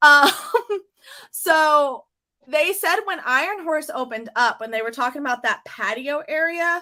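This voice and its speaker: A woman's raised, projected voice, high in pitch, with a bright, sharp tone, lively intonation and a fairly slow pace. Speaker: theme park livestream host. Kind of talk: casual chat. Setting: livestream.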